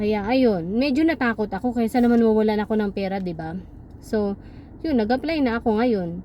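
The voice is an unremarkable speaking voice with ordinary pitch variation. The pace is fairly quick. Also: woman, fairly high pitch for a woman. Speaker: vlogger. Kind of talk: casual vlog monologue.

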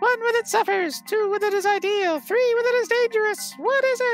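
The voice is extremely high and moves at a fairly quick pace. Music plays clearly in the background.

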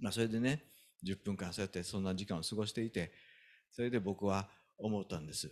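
Over a quiet background, a man talks at a fairly quick pace with lively intonation. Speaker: pastor. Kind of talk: sermon. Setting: church. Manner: animated. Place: church. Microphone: handheld.

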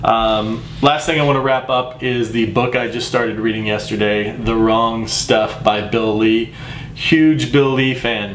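Amid light background noise and audible room echo, a man with an American accent speaks at a fairly slow pace and medium pitch with fairly even intonation. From Texas. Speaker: baseball podcaster and world history teacher. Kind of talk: casual solo sports vlog. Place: home room.

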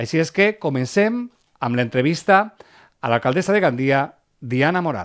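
A man speaks at a moderate pace and fairly high pitch, with very wide pitch swings. Long, frequent pauses break his speech against a quiet background. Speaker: TV magazine host. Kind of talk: broadcast presenting. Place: studio. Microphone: headset.

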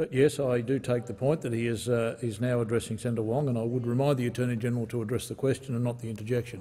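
A very fast, somewhat breathy delivery with a dark, mellow tone and monotone, flat intonation. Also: man, hardly any pauses. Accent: Australian. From Australia. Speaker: presiding officer of the Senate. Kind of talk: parliamentary procedure and prayer. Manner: formal. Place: hall. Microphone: podium.

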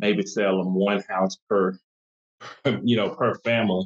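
Against a quiet background, a man uses an ordinary speaking voice, fairly low in pitch, at a moderate pace with fairly even intonation. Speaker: guest. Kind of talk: interview answer. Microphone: video call.

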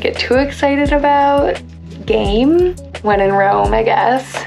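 Very slow speech over clear background music. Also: woman. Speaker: travel vlogger. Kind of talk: casual vlog chat. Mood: relaxed, cheerful. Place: home room. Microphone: phone near.

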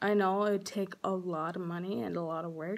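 The speaker is a woman with a medium pitch. Her pitch variation is ordinary. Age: young. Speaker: cosmetology student. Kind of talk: scholarship application video talk to camera. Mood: earnest, heartfelt. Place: home room. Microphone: phone near.

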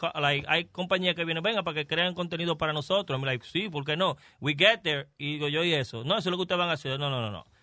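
An American-accented man with a fairly high pitch speaks at a very fast pace with hardly any pauses and ordinary pitch variation, recorded with a dry sound with no echo against a quiet background. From Dominican, New York City; Dominican Republic. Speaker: comedian; guest comedian. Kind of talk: casual chat. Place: studio. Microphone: studio mic.

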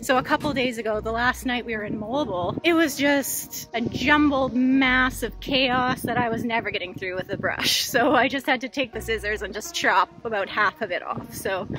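A moderate pace and ordinary pitch variation, with a dry, echo-free sound and faint music in the background. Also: woman, high pitch for a woman. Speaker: travel vlogger. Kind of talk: casual vlog chat. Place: street. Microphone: phone near.

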